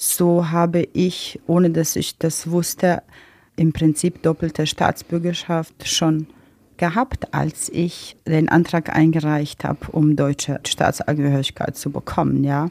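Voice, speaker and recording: A woman with a Croatian accent, fairly low-pitched and flat in a monotone, very slow, on a very clean, dry, close recording with a silent background and no echo. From Bosnia and Herzegovina (Mostar), Croatian. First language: Croatian (speaking German). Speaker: interviewee sharing personal story. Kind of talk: interview.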